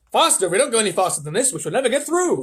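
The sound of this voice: A man uses a put-on character voice, high-pitched and fairly bright with a slightly husky edge. He talks at a very fast pace with big pitch swings.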